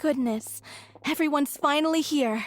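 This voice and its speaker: The put-on character voice is high and moves at a moderate pace. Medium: video game. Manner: gossipy, excitable.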